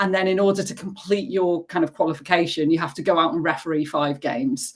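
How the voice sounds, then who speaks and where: Speaking with a northern English accent, a woman uses a fairly low pitch and ordinary pitch variation. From northern England. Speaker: football referee. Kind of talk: interview. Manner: hesitant, filler-heavy.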